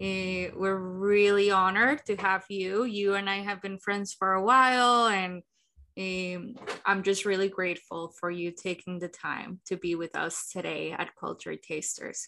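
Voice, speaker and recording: A woman with a Spanish accent speaks at a fairly slow pace in a bright, sharp tone and a medium pitch. Her intonation stays fairly even on a very clean recording with a silent background. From Colombia. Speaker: podcast host. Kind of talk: interview.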